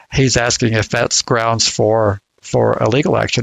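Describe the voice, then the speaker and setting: He speaks with an American accent and vocal fry. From US South. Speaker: podcast co-host discussing registry law. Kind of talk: casual discussion. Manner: halting, many repeated words.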